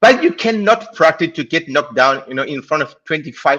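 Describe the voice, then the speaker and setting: Lively intonation and a bright, sharp tone mark a man speaking at a moderate pace. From Chile. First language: Spanish. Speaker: viewer calling in. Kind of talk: casual chat. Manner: halting.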